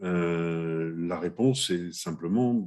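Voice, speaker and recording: A man with a very deep, low pitch speaks at a very slow pace, using ordinary pitch variation. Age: 60s. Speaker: interviewer. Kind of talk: casual chat. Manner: halting.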